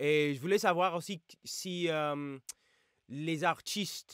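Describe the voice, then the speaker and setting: In an English accent, a man talks at a very slow pace, the sound dry and close with no echo on a very clean recording with a silent background. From United States. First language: English (speaking French). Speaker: YouTuber and rapper reacting to music. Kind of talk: casual reaction video. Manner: halting, many hesitations.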